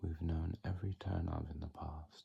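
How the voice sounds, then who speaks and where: A man speaks very slowly in a very deep, low voice, calm in tone and somewhat breathy. His tone is dark and mellow, with fairly even intonation. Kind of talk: ASMR poetry reading. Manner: soft-spoken, whispered, calm.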